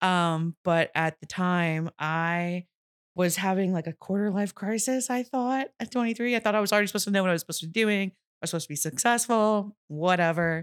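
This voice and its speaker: A woman speaks at a fairly quick pace with medium pitch and ordinary pitch variation. It is an ordinary speaking voice, recorded dry and close with no echo. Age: 30s. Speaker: real estate agent. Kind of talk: casual interview.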